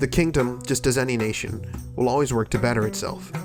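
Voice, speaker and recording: Over music in the background, a man talks at a very fast pace with a medium pitch. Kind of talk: documentary voice-over narration.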